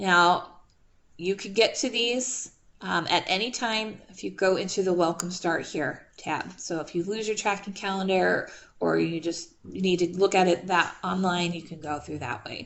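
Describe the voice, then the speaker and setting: With vocal fry and a medium pitch, a woman talks at a fairly slow pace with ordinary pitch variation. The room echo is audible. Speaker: math instructor. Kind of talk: online class lecture. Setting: video call.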